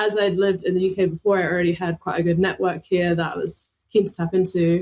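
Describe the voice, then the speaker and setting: The speech comes very fast in a monotone, flat delivery. The sound is dry and close, with no echo. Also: woman, medium pitch for a woman. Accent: Australian. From Australia. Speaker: product designer. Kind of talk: interview.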